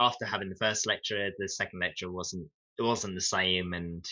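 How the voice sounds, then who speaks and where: In a British accent, a man speaks at a fairly low pitch with monotone, flat intonation. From UK. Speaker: 3D game artist. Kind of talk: casual interview chat. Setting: live video stream Q&A. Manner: halting, many fillers and restarts.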